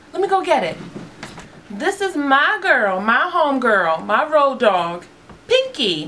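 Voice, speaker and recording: A raised, projected high voice from a woman, fairly slow, with very wide pitch swings over noticeable background noise. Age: 30s. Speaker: beauty vlogger. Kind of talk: casual vlog talk to camera. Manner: animated.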